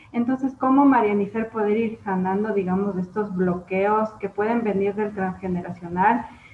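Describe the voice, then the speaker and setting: Against noticeable background noise, a woman at medium pitch keeps a moderate pace with hardly any pauses. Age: 30s. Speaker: podcast host. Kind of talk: interview.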